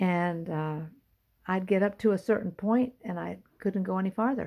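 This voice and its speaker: A woman's dark, mellow voice at a moderate pace in a very clean recording with a silent background. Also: medium pitch for a woman, ordinary pitch variation. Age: 70s. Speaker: vocal and piano teacher. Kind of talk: casual talk to camera. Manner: halting, many fillers.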